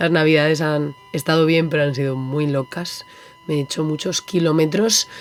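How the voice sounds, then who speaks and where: Background noise is noticeable throughout. The woman's pitch varies in an ordinary way. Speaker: illustration podcast host. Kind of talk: podcast monologue. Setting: on a boat. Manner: animated.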